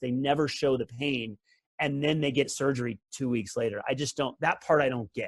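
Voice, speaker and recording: In a normal speaking voice, a man with a fairly high pitch talks at a fairly quick pace. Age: 40s. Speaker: former pro tennis player and coach. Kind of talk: casual chat.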